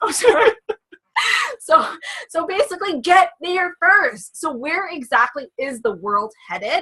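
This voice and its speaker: The voice is raised and projected, with a bright, sharp, animated tone, very wide pitch swings, a fairly slow pace and long, frequent pauses. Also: woman, extremely high pitch for a woman. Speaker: network marketing presenter. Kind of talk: sales pitch.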